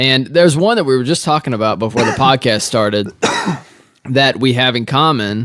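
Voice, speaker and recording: In an American accent, a man at medium pitch talks at a fairly quick pace with ordinary pitch variation and very even loudness. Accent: Southern, mellowed. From US South. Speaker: podcast host. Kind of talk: casual chat.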